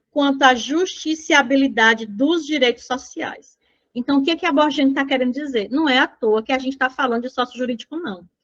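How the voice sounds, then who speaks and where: A woman talks at a fairly quick pace with a high pitch and ordinary pitch variation. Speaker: social work exam prep teacher. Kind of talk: lecture.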